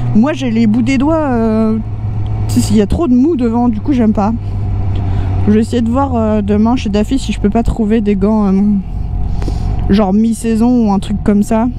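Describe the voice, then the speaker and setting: A woman talks at a moderate pace with long, frequent pauses. The sound is dry with no echo, over light background noise. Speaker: motorcycle vlogger. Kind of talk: casual vlog chat. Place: motorbike.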